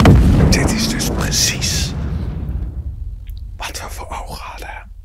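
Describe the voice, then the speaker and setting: Speaking at a very slow pace, a man shows big swings in loudness against noticeable background noise. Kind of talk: casual gaming commentary, playful ASMR parody.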